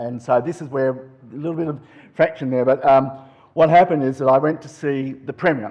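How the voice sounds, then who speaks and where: In an Australian accent, a man with a fairly high pitch speaks with fairly even intonation. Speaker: politician. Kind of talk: conference talk. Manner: fast.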